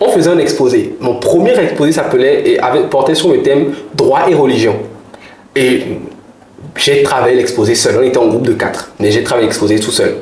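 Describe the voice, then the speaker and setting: A man speaks with very even loudness, with audible room echo and noticeable background noise. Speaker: public speaking coach and orator. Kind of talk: interview conversation. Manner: fast.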